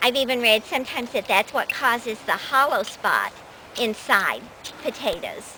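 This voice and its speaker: A fairly high-pitched woman at a moderate pace, ordinary pitch variation, with noticeable background noise. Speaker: gardening video host. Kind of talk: casual talk to camera, explaining a gardening demonstration.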